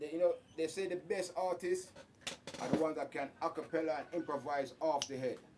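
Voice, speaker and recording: Someone talks at a fairly quick pace over noticeable background noise. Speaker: interviewer. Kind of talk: casual interview. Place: studio.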